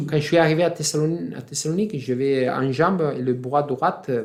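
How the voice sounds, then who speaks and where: The speaker has an Italian accent and ordinary pitch variation. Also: man. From Italy. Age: 50s. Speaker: freediving champion. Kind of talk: interview answer. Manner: calm, composed.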